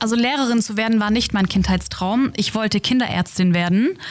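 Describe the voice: Fairly quick in pace, a woman speaks at medium pitch with ordinary pitch variation.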